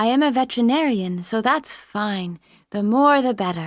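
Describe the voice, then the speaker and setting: A woman with a plain, everyday voice and a fairly high pitch speaks at a moderate pace with lively intonation in a very clean recording with a silent background. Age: 20s. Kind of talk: scripted listening exam dialogue.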